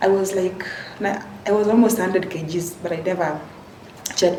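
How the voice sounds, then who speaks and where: In a room with audible echo and noticeable background noise, a woman speaks at a medium pitch in a monotone, flat intonation. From western Kenya. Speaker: vlogger. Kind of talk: personal storytelling. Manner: halting.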